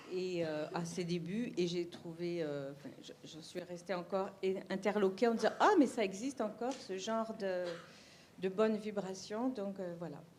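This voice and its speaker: Over noticeable background noise, a woman of medium pitch talks at a fairly slow pace with ordinary pitch variation and big swings in loudness. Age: old. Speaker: citizen committee member. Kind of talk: recorded testimony. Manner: hesitant.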